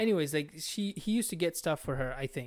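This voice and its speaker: A man speaks with a high pitch and ordinary pitch variation. His pace is moderate. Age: 20s. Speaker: podcast host. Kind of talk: casual chat. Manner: animated.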